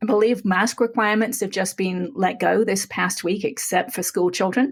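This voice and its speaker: Vocal fry runs through this voice, which moves at a moderate pace with ordinary pitch variation. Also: woman, medium pitch for a woman. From England. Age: 50s. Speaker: podcast guest. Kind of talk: interview.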